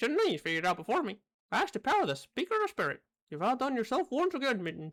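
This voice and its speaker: In a put-on character voice, the speaker goes at a very fast pace with a fairly high pitch. The pitch swings very widely. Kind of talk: regal, formal.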